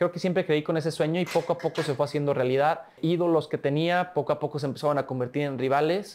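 The speech runs at a very fast pace with hardly any pauses and fairly even intonation. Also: man, fairly high pitch for a man. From Mexico, San Luis Potosí. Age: 20s. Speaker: olympic swimmer; interviewee. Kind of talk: interview. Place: studio. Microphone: lapel.

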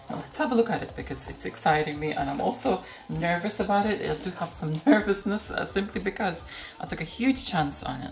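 A woman talking at a fairly quick pace, faint music in the background. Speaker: retro tech video host. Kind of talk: casual product show-and-tell. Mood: excited, slightly nervous. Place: home room.

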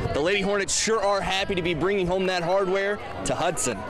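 Against noticeable background noise, a man talks at a very fast pace and high pitch. His loudness stays very even and his intonation fairly even. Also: dry sound with no echo. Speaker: sports reporter and anchor. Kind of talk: recorded stand up sign-off.

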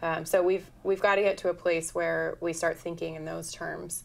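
A woman with an American accent talks at a moderate pace. Her pitch is fairly low. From Oregon. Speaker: environmental lawyer and activist; environmental lawyer. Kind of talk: talk show interview. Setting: studio. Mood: earnest, concerned. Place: studio.

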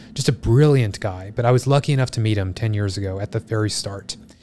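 A man talks at a fairly quick pace in a fairly low pitch. Faint music plays in the background. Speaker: podcast guest. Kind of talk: interview answer. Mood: enthusiastic, reflective. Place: studio. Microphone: studio mic.

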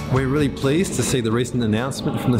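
The voice belongs to a man. Loud music plays in the background. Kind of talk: interview answer. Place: workshop.

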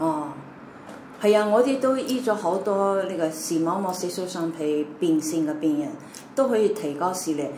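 A woman with a medium-pitched voice and lively intonation talks at a moderate pace, with audible room echo and light background noise. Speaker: doctor. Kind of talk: interview answers, explanatory. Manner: halting, with many fillers. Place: home room. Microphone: camera far.

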